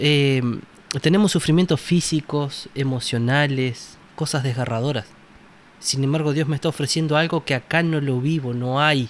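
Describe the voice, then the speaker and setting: A man with a Uruguayan accent, fairly high pitch, fairly even intonation and very even loudness. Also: moderate pace. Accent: Rioplatense Spanish (Uruguayan). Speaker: Bible study panelist. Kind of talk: Bible study discussion.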